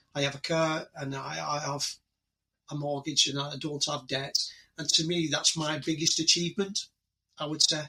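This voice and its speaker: With an English accent, a man speaks at a moderate pace in a fairly high pitch and monotone, flat intonation, leaving long, frequent pauses. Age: 60s. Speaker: retired police officer and army veteran. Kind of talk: casual interview. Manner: halting, with many repetitions.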